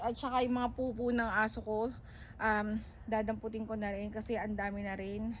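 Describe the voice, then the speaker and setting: A woman's fairly high, somewhat breathy voice moves at a moderate pace in a monotone, flat intonation, with audible room echo around it. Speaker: vlogger. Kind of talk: casual vlog.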